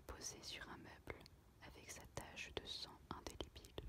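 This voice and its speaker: Through noticeable background noise, someone whispers very slowly. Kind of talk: read story. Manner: whispered.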